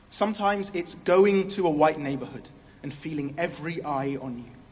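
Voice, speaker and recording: A man speaks in a British accent. His intonation is lively. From England. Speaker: spoken word poet. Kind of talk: slam poetry performance. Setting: stage with audience.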